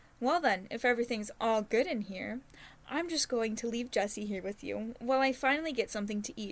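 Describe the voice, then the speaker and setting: In a gruff put-on character voice, a woman speaks at a fairly quick pace with a fairly high pitch and ordinary pitch variation. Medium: read story. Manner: gruff, barking.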